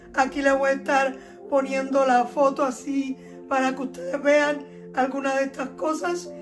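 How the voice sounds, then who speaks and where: A woman with a Cuban accent, high in pitch, fairly slow, with ordinary pitch variation, audible room echo and noticeable background noise. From Cuba, Holguín province. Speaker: youtuber, former teacher. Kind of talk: personal storytelling vlog.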